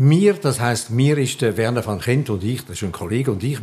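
A man's somewhat breathy voice at medium pitch, with a Swiss accent and a moderate pace, on a very clean recording with a silent background. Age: 80s+. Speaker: journalist. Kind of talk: interview.

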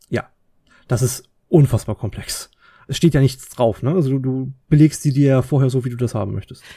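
This man's voice sits at a medium pitch and is somewhat breathy. It has a dark, mellow tone. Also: ordinary pitch variation, moderate pace. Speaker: podcast co-host. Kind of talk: casual chat. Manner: calm.

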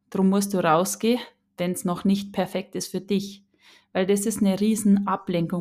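In a Bavarian accent, a woman talks at a moderate pace and medium pitch with a dark, mellow tone. The recording is very clean, with a silent background. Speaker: podcast host, spiritual coach. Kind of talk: casual solo monologue. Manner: animated.

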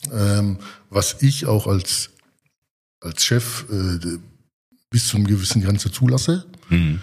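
Speaking at a very slow pace with long, frequent pauses, a man uses a fairly low, somewhat breathy voice with ordinary pitch variation. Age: 40s. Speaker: rail freight company executive. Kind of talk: casual interview. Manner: hesitant, many filler sounds.

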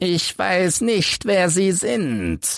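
In a put-on character voice, a man speaks at a high pitch with big pitch swings, a fairly bright tone, vocal fry and a very slow pace, on a very clean recording with a silent background.

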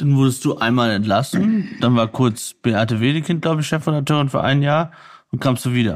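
In a very clean recording with a silent background, a man with a normal speaking voice talks at a fairly quick pace and medium pitch, with lively intonation and very even loudness. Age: 30s. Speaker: podcast host and war reporter. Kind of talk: interview. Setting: at the guest's home.

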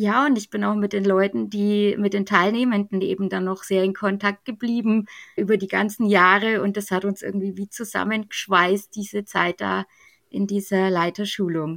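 A woman with a normal speaking voice talks at medium pitch. Her pace is moderate and her intonation fairly even. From Germany, Bavaria (Middle Franconia). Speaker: church youth training leader. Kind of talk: podcast interview.

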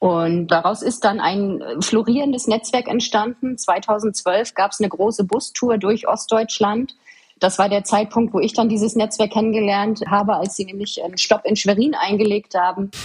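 Fairly even intonation in an ordinary speaking voice, at a moderate pace. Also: woman, fairly high pitch for a woman. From Mecklenburg-Vorpommern, eastern Germany (Waren an der Müritz). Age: 30s. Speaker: government official. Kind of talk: interview.

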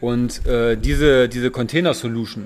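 At a fairly slow pace, a man speaks at a medium pitch with fairly even intonation. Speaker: hydrogen industry employee. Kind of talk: casual chat. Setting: informal holiday setting by the sea. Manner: halting, many fillers.

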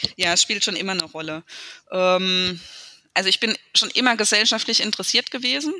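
Long, frequent pauses break up a woman's fairly quick speech. Her medium-pitched voice shows ordinary pitch variation. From Speyer, Rhineland-Palatinate, Germany. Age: 30s. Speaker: mayor. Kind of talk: interview. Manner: hesitant with frequent fillers.

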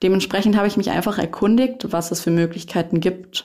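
Here a woman speaks in a dark, mellow tone. Her pitch moves in an ordinary way. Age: 20s. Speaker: publishing trainee. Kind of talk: casual interview.

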